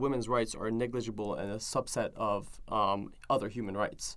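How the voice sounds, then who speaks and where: The speaker is a man with a Persian accent. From Iran, Tehran. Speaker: activist organizer. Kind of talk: interview. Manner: halting.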